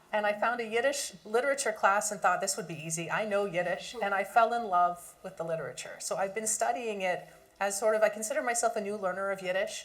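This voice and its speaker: Over noticeable background noise, a woman talks at a very fast pace with hardly any pauses, her medium pitch showing ordinary variation. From Canada. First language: German. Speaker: academic. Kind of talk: panel discussion.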